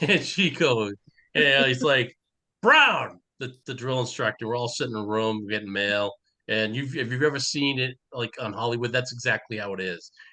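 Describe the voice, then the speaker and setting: A man with a Boston accent, medium pitch, a bright and sharp tone, and ordinary pitch variation. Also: moderate pace. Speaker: podcast co-host. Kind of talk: casual chat.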